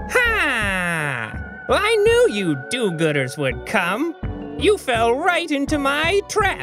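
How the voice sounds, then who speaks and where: A robotic, put-on character voice speaks at a very slow pace over clear background music. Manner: gloating, menacing.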